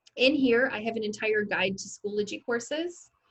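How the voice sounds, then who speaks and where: In an ordinary speaking voice, a woman talks at a moderate speed. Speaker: ed tech trainer for teachers. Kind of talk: online training session.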